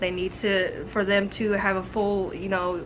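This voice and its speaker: Background music accompanies this female voice. Her pitch sits in the middle range. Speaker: reptile care YouTuber. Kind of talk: tutorial. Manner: casual, chatty.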